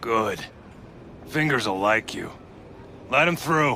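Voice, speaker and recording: A man puts on a raspy character voice at medium pitch, going fairly slowly. Clear background noise sits behind him. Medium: video game. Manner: blunt, suspicious.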